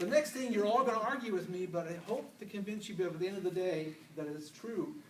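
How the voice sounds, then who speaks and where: A man's high-pitched voice makes very wide pitch swings at a fairly quick pace. Noticeable background noise and audible room echo fill the recording. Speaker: public speaker. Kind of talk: presentation to an audience. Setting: stage with audience. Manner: fast.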